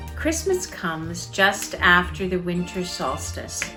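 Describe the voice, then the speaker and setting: The pace is very slow, with very wide pitch swings. Music plays in the background. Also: woman. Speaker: author and storyteller. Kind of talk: casual spoken introduction.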